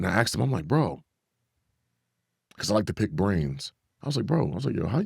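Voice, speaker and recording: A man talks at a very fast pace with a fairly low pitch, very wide pitch swings and vocal fry. Long, frequent pauses break up his speech in a very clean recording with a silent background. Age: 30s. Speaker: actor. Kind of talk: casual chat. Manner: animated.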